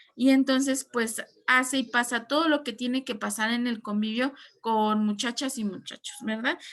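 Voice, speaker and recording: A woman at a high pitch, moderate pace and fairly even intonation. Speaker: teacher. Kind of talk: online class lecture.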